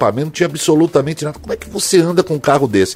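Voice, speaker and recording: A man's voice at a fairly high pitch, with ordinary pitch variation. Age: 60s. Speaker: radio host. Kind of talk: casual chat.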